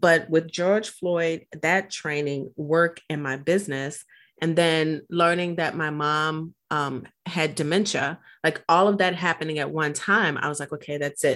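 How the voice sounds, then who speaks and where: The speech moves at a fairly slow pace in a very clean recording with a silent background. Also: woman, very deep, low pitch for a woman. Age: 50s. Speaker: podcast host and coach. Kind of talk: interview conversation. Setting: virtual studio. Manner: excitable.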